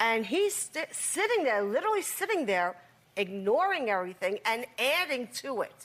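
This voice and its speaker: A loud, high-pitched woman at a moderate pace, with very wide pitch swings and noticeable background noise. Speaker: talk show guest in family conflict. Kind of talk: heated confrontation.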